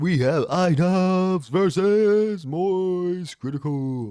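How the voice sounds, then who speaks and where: A man puts on a character voice at a high pitch, going at a very slow pace. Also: ordinary pitch variation. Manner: exaggerated announcer delivery.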